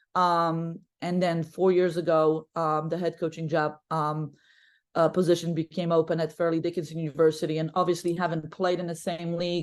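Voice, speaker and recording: A woman with a Polish accent speaks at a fairly low pitch and a moderate pace. Her intonation is monotone and flat against a quiet background. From Poland. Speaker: basketball coach. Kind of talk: podcast interview. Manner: talkative.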